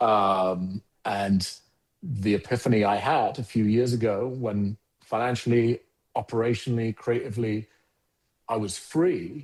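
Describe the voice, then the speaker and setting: In a South London accent, a man speaks somewhat breathily against a quiet background. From South London (Croydon), England. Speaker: agency founder and CEO. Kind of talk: podcast interview.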